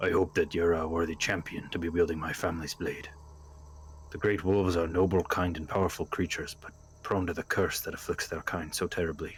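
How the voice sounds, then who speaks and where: Over clear background noise, a man does a gruff put-on character voice, very deep and low-pitched, at a fairly quick pace. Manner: solemn.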